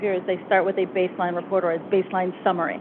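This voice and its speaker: With a slight Boston accent, a woman talks at a very fast pace and a medium pitch over noticeable background noise. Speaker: consultant. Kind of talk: presentation Q&A.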